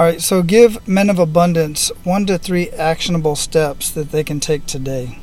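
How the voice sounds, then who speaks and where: The speaker has an American accent and keeps a moderate pace. There are hardly any pauses, and background noise is noticeable. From US Southwest, Phoenix. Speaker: podcast host. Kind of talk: casual interview.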